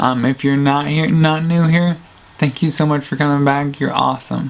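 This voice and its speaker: Soft-spoken man with a fairly high pitch and fairly even intonation, over noticeable background noise. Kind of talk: casual talk to camera. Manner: quiet, soft-spoken.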